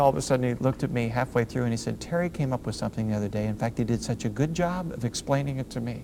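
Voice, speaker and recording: A man at a very fast pace, medium-pitched, with ordinary pitch variation and hardly any pauses. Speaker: motivational speaker. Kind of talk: motivational talk.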